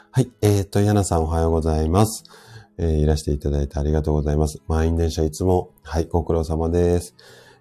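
Very fast speech with fairly even intonation over music in the background. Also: man, very deep, low pitch for a man. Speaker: health practitioner hosting a live audio stream. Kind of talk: casual health talk on a live stream, greeting listeners. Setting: live audio stream. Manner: hesitant, many fillers.

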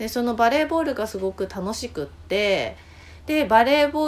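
Her voice sits fairly high, and her pace is moderate. This woman's pitch swings very widely. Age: 40s. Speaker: podcast host, journaling guide. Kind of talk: casual chat.

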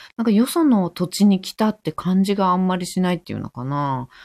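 A woman with a dark, mellow tone and fairly low pitch swings her pitch very widely at a moderate pace. The recording is very clean, the background silent. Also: dry, close sound with no echo. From Tokyo. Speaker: yoga teacher. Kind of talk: casual chat; guided meditation. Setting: live stream.

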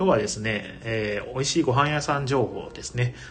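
Against noticeable background noise, a man with a medium-pitched voice speaks at a fairly quick pace. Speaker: board game bar owner and radio host. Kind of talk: casual solo livestream talk.

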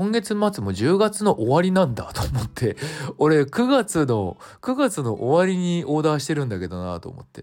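At a fairly high pitch, a man speaks with a relaxed tone at a moderate pace, with very wide pitch swings and big swings in loudness. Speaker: singer-songwriter and music production instructor podcaster. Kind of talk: casual solo talk. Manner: relaxed, loose.

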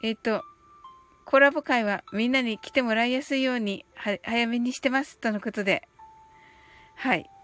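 With music in the background, a woman with a high pitch and ordinary pitch variation speaks with long, frequent pauses. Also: big swings in loudness. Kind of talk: guided meditation, calm bilingual Japanese-English countdown script read aloud; casual livestream chat with listeners. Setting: live stream reading viewer comments. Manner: slow, soothing, evenly paced.

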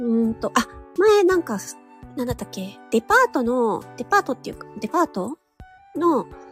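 A woman speaks at a moderate pace with very wide pitch swings over music in the background. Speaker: audio streaming host, amateur voice actor. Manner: casual, chatty, many fillers.

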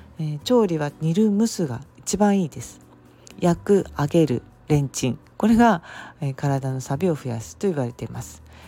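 This woman's voice is very deep and low, with a dark, mellow tone, very wide pitch swings and big shifts in loudness. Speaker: herbal medicine practitioner. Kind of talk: solo podcast talk. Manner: frequent fillers, unhurried.

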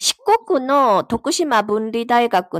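Here a woman speaks with a Korean accent at a fairly high pitch. The sound is dry and close, without echo. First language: Korean (speaking Japanese). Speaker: Bible study participant. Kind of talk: casual chat.

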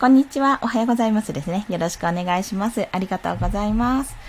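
A woman with fairly high pitch talks at a very fast pace with very wide pitch swings over noticeable background noise. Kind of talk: solo live stream talk. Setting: live stream at home.

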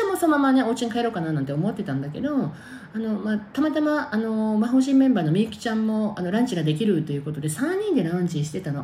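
A woman talks at a very fast pace in a fairly high pitch with very wide pitch swings. Noticeable background noise is present. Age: 50s. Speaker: podcaster. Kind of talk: casual monologue. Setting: in the bath. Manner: animated.

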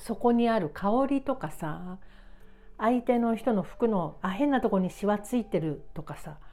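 Fairly high-pitched with a dark, mellow tone, a woman talks at a fairly slow pace with lively intonation. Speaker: writer and podcaster. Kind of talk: casual monologue. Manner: casual, unpolished.

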